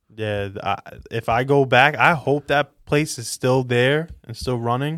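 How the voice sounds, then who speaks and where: Someone with a New York accent speaks at a moderate pace with ordinary pitch variation, in a dry, close sound with no echo on a very clean recording with a silent background. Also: man. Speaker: podcast co-host. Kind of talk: casual chat.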